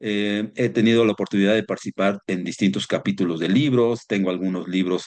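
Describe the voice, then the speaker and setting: A man's ordinary speaking voice, fairly low in pitch. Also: quiet background. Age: 60s. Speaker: environmental consultant and instructor. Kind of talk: online seminar lecture. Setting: live stream.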